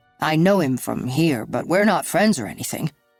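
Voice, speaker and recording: A put-on character voice growls at a middle pitch and a moderate pace. Faint music plays in the background. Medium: read story. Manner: nervous, evasive.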